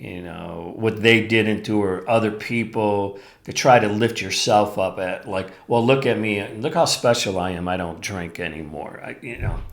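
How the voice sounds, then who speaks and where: Ordinary pitch variation with audible room echo. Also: man. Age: 60s. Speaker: podcast host. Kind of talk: solo podcast talk.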